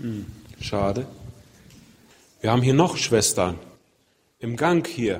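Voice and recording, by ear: With a slightly husky edge, a man at a medium pitch talks at a slow pace with lively intonation.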